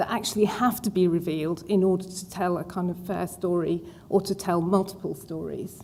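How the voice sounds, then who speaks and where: A woman with an English accent speaks in a dark, mellow tone with vocal fry. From England. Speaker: museum director. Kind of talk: panel discussion.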